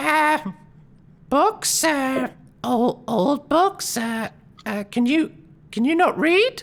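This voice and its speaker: This put-on character voice sits high in pitch and moves very slowly. Long pauses come often. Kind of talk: game character voice, hesitant.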